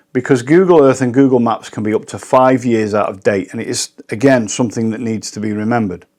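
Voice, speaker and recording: With a British accent, a man speaks at a fairly quick pace. The recording is very clean, with a silent background. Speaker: professional drone pilot. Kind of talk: tutorial.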